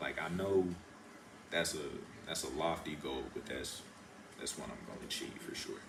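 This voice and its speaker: There is audible room echo and noticeable background noise around a man's voice. He talks at a moderate pace with long, frequent pauses. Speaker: college football player. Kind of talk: interview. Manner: laid back.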